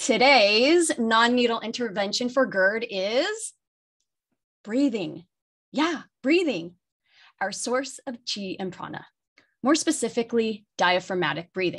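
A woman speaks with lively intonation at a fairly high pitch. Her tone is fairly bright. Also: fairly slow pace.

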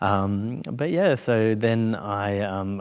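Here a man speaks with an Australian accent. His pitch varies in an ordinary way. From Australia, Victoria. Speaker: queer youth program manager; interview guest. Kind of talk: casual interview. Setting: studio with audience. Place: studio.

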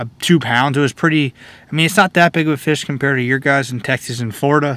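A man talks with fairly even intonation, and the sound is dry with no echo. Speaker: fishing vlogger. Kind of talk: casual vlog chat. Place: car. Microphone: phone near.

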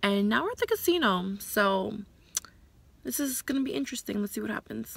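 A woman speaks at a fairly quick pace in a dry recording with no echo. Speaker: vlogger. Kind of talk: casual vlog chat. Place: car. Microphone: phone near.

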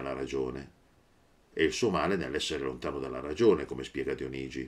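Vocal fry runs through a man's voice as he talks at a moderate pace. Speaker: teacher of philosophy. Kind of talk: lecture. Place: home room. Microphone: webcam.

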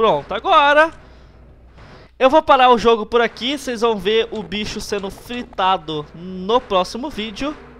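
A man speaks in a raised, projected voice at an extremely high pitch, with a bright, sharp tone. His intonation is lively and his pace fairly slow. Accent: Brazilian. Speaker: gaming youtuber. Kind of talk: let's play commentary. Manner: animated.

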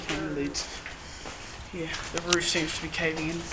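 A man speaks at a moderate pace despite loud background noise. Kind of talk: casual vlog commentary. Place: factory. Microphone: phone near.

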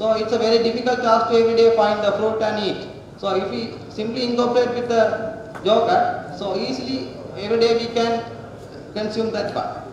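With strong room echo and light background noise, a man talks in a high pitch with ordinary pitch variation. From Sri Lanka. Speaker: student researcher. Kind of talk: presentation. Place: hall. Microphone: podium.

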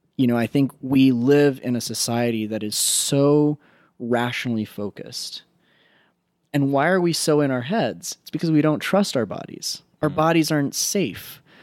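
Against a quiet background, a man speaks at a moderate pace. The sound is dry, with no echo. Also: ordinary pitch variation. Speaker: psychotherapist. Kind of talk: interview conversation. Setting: guest's home. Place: home room.

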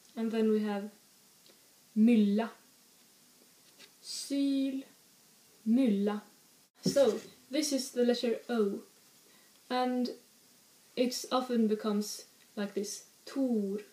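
A woman's fairly high voice with a Swedish accent, very slow and broken by long, frequent pauses, amid audible room echo. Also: fairly even intonation. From northern Sweden. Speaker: language teacher. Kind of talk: language lesson. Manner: exaggerated, careful pronunciation of example words. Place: home room. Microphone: webcam.

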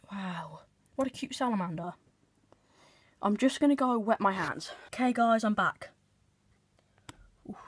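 Against a quiet background, a woman with a fairly high, somewhat breathy voice and lively intonation speaks at a moderate pace, leaving long, frequent pauses. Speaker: pet keeper vlogger. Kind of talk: casual chat. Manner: soft-spoken. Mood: excited, gentle. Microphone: phone near.

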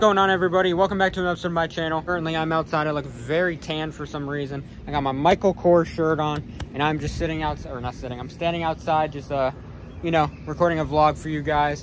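A man talks at a very fast pace in a dry sound with no echo, with light background noise. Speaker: vlogger. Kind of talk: casual vlog chat. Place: garden. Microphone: phone near.

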